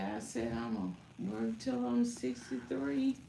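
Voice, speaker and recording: Noticeable background noise and audible room echo surround a woman speaking at a fairly slow pace. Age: 60s. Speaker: salon client. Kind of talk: casual chat.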